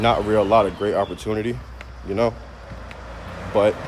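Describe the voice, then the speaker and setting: Speaking at a moderate pace with fairly even intonation, a man with a fairly low pitch is heard over noticeable background noise. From United States. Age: 20s. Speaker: streamer. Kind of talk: casual live stream monologue. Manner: casual, filler-heavy.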